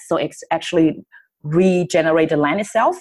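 Ordinary pitch variation in a Chinese accent, on a very clean recording with a silent background. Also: woman. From China, Shanghai. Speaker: company founder. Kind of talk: interview. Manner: halting, many fillers.

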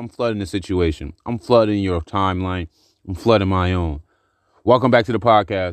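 In an ordinary speaking voice, with ordinary pitch variation and a moderate pace, the speaker comes through dry and close with no echo over a quiet background. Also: man, fairly low pitch for a man. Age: 30s. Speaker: podcaster. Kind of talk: casual monologue.

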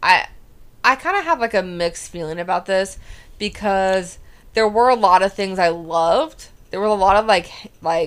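In a very clean recording over a silent background, there is an ordinary speaking voice using ordinary pitch variation. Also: woman. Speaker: podcast co-host. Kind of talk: casual chat.

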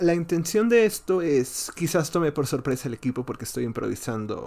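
A man at a moderate pace, with lively intonation and a slightly mellow tone

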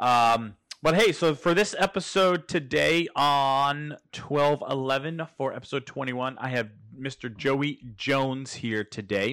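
A man speaks in a normal speaking voice, pitched fairly high, with ordinary pitch variation at a fairly slow pace. The recording is very clean, with a silent background. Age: 30s. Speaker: podcast host. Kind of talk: casual interview.

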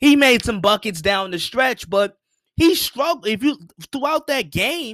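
An extremely high-pitched man, bright, sharp and animated in tone, with very wide pitch swings, in a very clean, silent recording with a dry, close sound and no echo. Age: young. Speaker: sports podcast host. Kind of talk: solo sports commentary podcast. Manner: repetitive, animated.

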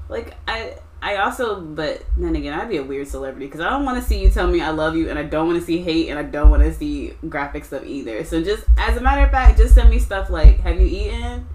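Over noticeable background noise, a woman talks at a very fast pace with hardly any pauses. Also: big swings in loudness. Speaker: podcast host. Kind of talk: casual chat.

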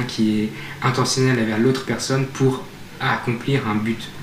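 A man speaks at a moderate pace and medium pitch in a monotone, flat intonation, with audible room echo and noticeable background noise. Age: 20s. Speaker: medical student. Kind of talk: casual chat.

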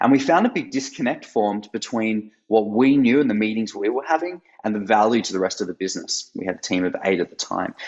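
A man with an Australian accent talks at a very fast pace with hardly any pauses. His pitch is medium and his intonation lively. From Australia, Sydney. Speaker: startup co-founder. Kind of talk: interview. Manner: hesitant, many fillers.

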